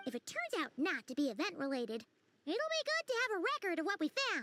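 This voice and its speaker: This is a put-on character voice at an extremely high pitch. It races at a very fast pace with very wide pitch swings. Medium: video game. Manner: calm, understated.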